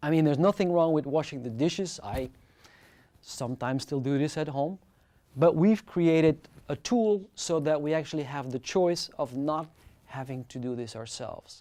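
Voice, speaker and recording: The speaker talks at a moderate pace with a French accent in a very clean recording with a silent background. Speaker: lecturer. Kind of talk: lecture.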